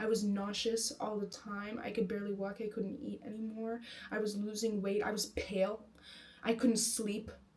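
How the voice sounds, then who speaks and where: A woman with an American accent talks at a moderate pace in a fairly high pitch. Her intonation is monotone and flat, and noticeable background noise is present. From United States. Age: 20s. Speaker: vlogger. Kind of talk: casual personal monologue. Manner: halting, many fillers.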